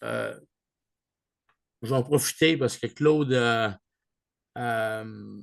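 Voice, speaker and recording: A man is speaking. He has a strong Canadian French accent. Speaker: online group leader. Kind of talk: video call meeting. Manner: hesitant, many fillers; mixes English words into French.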